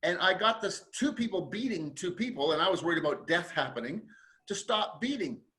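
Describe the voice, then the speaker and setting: Raised and projected, a man's voice is high in pitch with a bright, sharp tone, lively intonation, and a fairly quick pace. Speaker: podcast host and resilience author. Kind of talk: interview conversation.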